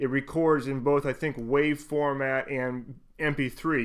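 A man speaks. The background is quiet. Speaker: tech reviewer. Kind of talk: tutorial. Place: studio.

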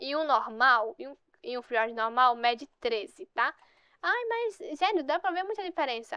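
Speaking at a fairly quick pace, a woman uses an animated tone and a high pitch. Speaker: gaming youtuber. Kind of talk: gameplay commentary.

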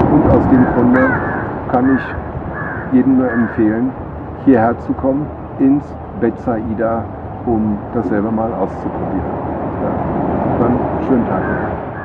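Loud background noise surrounds a man speaking at a very slow pace. He leaves long, frequent pauses. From Germany. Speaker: resort guest; guest. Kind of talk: testimonial. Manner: halting, many fillers. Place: garden.

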